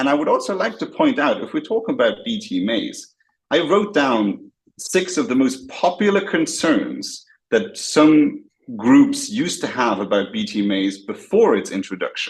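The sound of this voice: At a fairly slow pace, a man of medium pitch speaks with big pitch swings and a slightly husky edge.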